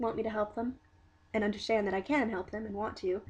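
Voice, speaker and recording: Somewhat breathy, a woman with a fairly high pitch rushes at a very fast pace with fairly even intonation. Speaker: vlogger. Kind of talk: video diary. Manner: halting.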